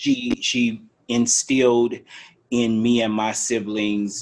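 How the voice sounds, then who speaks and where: Very slow, monotone, flat delivery. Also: man. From New Orleans, Uptown. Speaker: podcast co-host. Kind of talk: casual chat. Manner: halting, many fillers.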